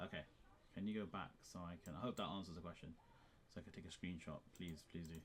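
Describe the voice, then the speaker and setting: A man with a very deep, low voice talks very fast yet leaves long, frequent pauses. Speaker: chemistry tutor. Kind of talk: live online lesson. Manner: animated.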